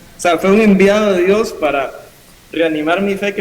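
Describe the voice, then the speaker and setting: Moderately paced male speech amid noticeable background noise. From Costa Rica, Upala. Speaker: pastor. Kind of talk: interview testimony.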